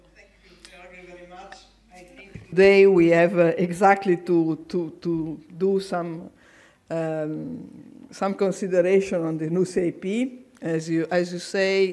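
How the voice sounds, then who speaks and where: An Italian accent at a very slow pace. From Italy. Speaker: conference chair, agricultural association official. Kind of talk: conference speech. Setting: public conference hall. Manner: halting, repeats words.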